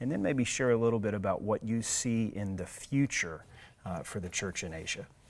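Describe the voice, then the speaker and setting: At a moderate pace, a man with a fairly low pitch and an ordinary speaking voice shows ordinary pitch variation in a very clean recording with a silent background. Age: 40s. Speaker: podcast host. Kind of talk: interview.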